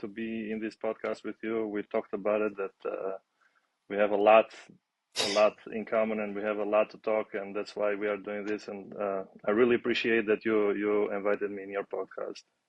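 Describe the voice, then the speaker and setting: A man is speaking. He has an Albanian accent. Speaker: aviation maintenance student and former basketball player. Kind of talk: podcast interview. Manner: halting.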